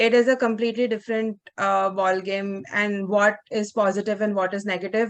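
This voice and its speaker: A woman speaks in a monotone, flat way. She keeps a moderate pace with hardly any pauses. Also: medium pitch for a woman. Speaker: journalism workshop participant. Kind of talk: group discussion. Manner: loud.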